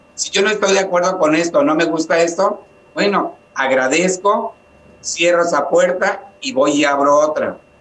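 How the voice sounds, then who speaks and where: There is noticeable background noise as a man speaks with a high pitch. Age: 50s. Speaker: psychotherapist and spiritual healer. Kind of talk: interview.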